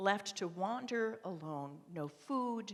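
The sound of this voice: Lively intonation in an unforced reading voice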